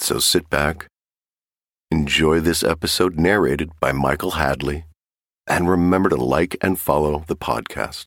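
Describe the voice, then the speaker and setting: There is vocal fry in this voice, which moves at a fairly slow pace with very even loudness and fairly even intonation on a very clean recording with a silent background. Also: man, very deep, low pitch for a man. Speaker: podcast host introducing the episode. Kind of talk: scripted intro.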